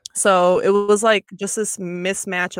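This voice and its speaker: A woman with an American accent and a normal speaking voice, fairly even intonation and a moderate pace, on a very clean recording with a silent background. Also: dry, close sound with no echo. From Michigan, with years in Belgium and Japan. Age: 20s. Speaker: fashion designer and multidisciplinary artist. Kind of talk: casual interview.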